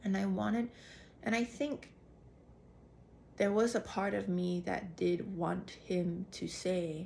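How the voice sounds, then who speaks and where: Somewhat breathy, a woman speaks at a medium pitch with ordinary pitch variation. Her pace is very slow, with long, frequent pauses. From Singapore. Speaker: actor and vlogger. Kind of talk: casual monologue. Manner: animated, with self-corrections and restarts.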